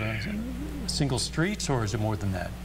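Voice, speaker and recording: A man talks at a moderate pace as background noise stays noticeable. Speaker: TV meteorologist. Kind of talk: live TV severe weather coverage.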